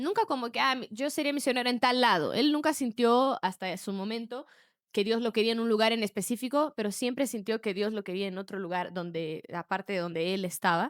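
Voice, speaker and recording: A woman's normal speaking voice, fairly high in pitch and fairly quick, with lively intonation, on a very clean recording with a silent background and a dry, close sound with no echo. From Brazil, raised in Peru from age 8. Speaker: podcast co-host. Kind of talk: casual chat.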